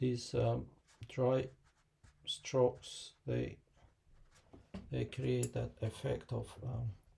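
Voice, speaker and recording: The speech comes out mumbled at a very slow pace. Long pauses occur often. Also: man. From Kosovo. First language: Albanian. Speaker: watercolor artist and teacher. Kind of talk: live painting tutorial and Q&A. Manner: hesitant, many fillers; mumbling.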